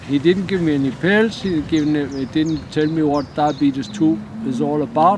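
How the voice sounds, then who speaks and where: A man speaks at a fairly high pitch and a fairly slow pace. Noticeable background noise runs under his voice. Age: 60s. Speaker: interviewee sharing diabetes story. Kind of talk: interview testimony. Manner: halting.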